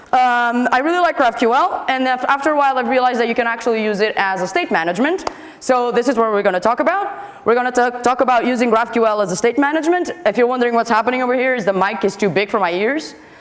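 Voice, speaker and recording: With a Portuguese accent, a woman speaks very fast in a high pitch with lively intonation and very even loudness, against noticeable background noise. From Portugal. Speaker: software developer, conference speaker. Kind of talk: conference talk. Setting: stage with audience. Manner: animated.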